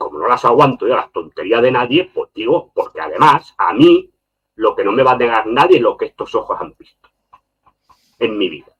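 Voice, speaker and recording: The sound is dry and close with no echo as a man speaks at a moderate pace, his loudness swinging widely. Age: 60s. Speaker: journalist and political commentator. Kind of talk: podcast interview. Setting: live stream. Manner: emphatic, insistent.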